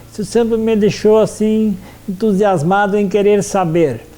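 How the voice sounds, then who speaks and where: A man talks at a fairly slow pace in a high pitch. Noticeable background noise can be heard. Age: 60s. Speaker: history teacher. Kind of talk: interview testimony. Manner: halting, with frequent fillers.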